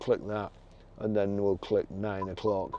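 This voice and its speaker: This man's voice sits fairly low in pitch, and he has an English accent. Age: 60s. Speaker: used car dealer. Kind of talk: tutorial. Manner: halting.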